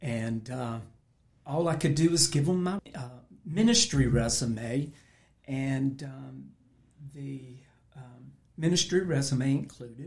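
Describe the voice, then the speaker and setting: Very slowly and with long, frequent pauses, a man speaks at a fairly high pitch in a somewhat breathy voice, with ordinary pitch variation and big swings in loudness. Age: 60s. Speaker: pastor. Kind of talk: testimony.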